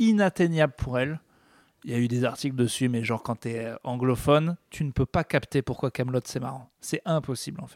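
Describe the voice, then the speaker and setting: In a plain, everyday voice, a man talks at a fairly quick pace with ordinary pitch variation. The recording is very clean and silent in the background, with a dry, close sound and no echo. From France. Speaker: podcast co-host, comedian. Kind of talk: casual chat.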